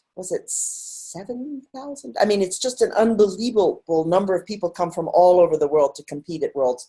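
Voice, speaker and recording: The voice is somewhat breathy, with a dark, mellow tone and very wide pitch swings. It keeps a moderate pace with hardly any pauses and big swings in loudness. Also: woman, medium pitch for a woman. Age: 60s. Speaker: masters rower. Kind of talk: interview. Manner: halting.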